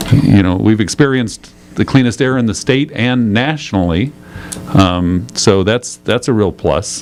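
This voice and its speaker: Music plays behind a man speaking at a medium pitch. He keeps a fairly slow pace with ordinary pitch variation. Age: 60s. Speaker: county supervisor. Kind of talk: radio interview. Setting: radio studio. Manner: casual, hesitant with fillers.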